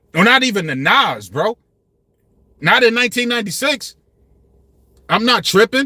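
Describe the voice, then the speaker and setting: A man's extremely high, raised, projected voice with a bright, sharp tone and lively intonation, broken by long, frequent pauses, in a dry, close sound with no echo. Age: 50s. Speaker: YouTube commentator on rap. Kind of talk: casual livestream commentary. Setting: livestream. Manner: passionate, animated.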